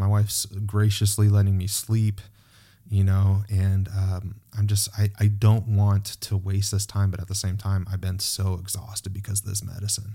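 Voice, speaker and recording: This man's voice has a dark, mellow tone and is somewhat breathy, with fairly low pitch. He speaks at a moderate pace in a flat monotone. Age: 40s. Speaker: podcast host. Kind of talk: casual chat. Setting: video call.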